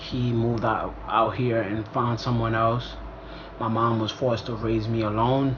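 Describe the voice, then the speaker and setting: A man at medium pitch speaks in a monotone, flat way, with audible room echo and noticeable background noise. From Ivory Coast. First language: French. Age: 20s. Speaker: vlogger. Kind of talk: casual storytime vlog. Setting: talking to camera. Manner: casual, conversational with fillers.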